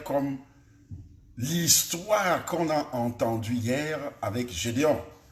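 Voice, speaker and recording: The intonation is lively. Audible room echo and noticeable background noise come through. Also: man. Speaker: pastor. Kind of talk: sermon. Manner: soft-spoken; articulated.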